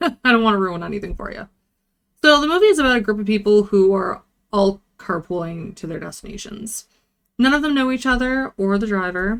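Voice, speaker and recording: A woman talks at a fairly quick pace with a medium pitch and lively intonation, her loudness swinging widely. She has an unremarkable speaking voice. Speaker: vtuber movie reviewer. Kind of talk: casual movie review talk to camera.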